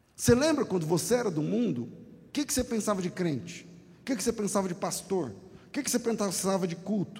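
A high-pitched man talks at a fairly quick pace with lively intonation. Audible room echo surrounds his voice. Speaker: guest pastor. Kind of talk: sermon. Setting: church. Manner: animated.

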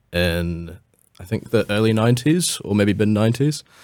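A man with a New Zealand accent on a very clean recording with a silent background. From New Zealand, Takapuna (Auckland). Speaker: sports agency staff member. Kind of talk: casual chat.

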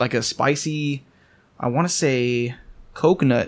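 A man with an American accent, medium pitch and ordinary pitch variation, and an unremarkable speaking voice. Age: 20s. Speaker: brewery representative. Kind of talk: casual chat.

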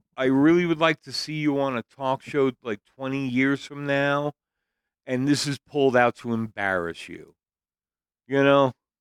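An ordinary speaking voice moves at a fairly slow pace with ordinary pitch variation and big swings in loudness, recorded very cleanly against a silent background in a dry, close sound with no echo. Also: man, fairly high pitch for a man. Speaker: podcast co-host. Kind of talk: casual chat.

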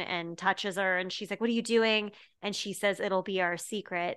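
A woman with an American accent has an unremarkable speaking voice at medium pitch, with fairly even intonation and a moderate pace. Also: quiet background. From Colorado, Denver area. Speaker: comedian and TV writer. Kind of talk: casual chat.

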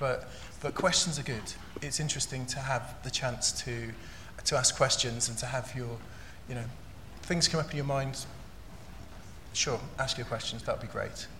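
A man with fairly even intonation and long, frequent pauses, set against noticeable background noise. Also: medium pitch for a man, moderate pace. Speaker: panel facilitator. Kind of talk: moderated panel discussion.

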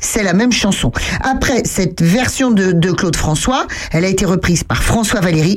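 Noticeable background noise runs behind a woman of medium pitch. She talks at a moderate pace with lively intonation. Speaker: radio co-host. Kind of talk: casual chat. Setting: studio. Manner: animated.

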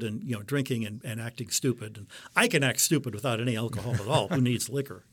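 Very fast and with an American accent, a man at a medium pitch speaks with ordinary pitch variation on a very clean recording with a silent background. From US Midwest, Detroit. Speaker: astronomer and religious brother. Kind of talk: interview conversation. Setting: studio.

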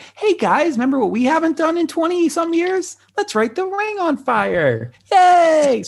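At a moderate pace, a squeaky, put-on character voice pipes up at an extremely high pitch. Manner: cartoonish, sarcastic.

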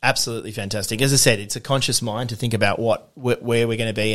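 Talking very fast, a man with an Australian accent keeps a medium pitch. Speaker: coffee roaster and competition barista. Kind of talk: casual interview. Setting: home studio, face-to-face.

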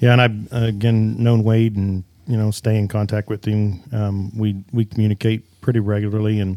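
Speaking in a Midwestern American accent, a man has a dark, mellow tone and a fairly low pitch. He talks at a moderate pace in a monotone, flat intonation, on a very clean recording with a silent background. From Kansas. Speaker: podcast host and shop owner. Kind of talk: casual interview. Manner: halting, many fillers.

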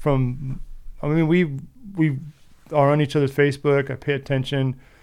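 A man with a plain, everyday voice. He talks at a fairly quick pace, with fairly high pitch and fairly even intonation. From US, San Diego near Mexican border. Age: 40s. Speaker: exhaust fabricator. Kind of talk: casual chat.

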